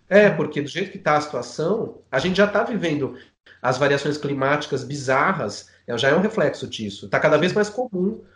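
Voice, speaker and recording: Fairly quick and somewhat breathy, a man's fairly high voice carries lively intonation. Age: 40s. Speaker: filmmaker. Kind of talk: casual chat.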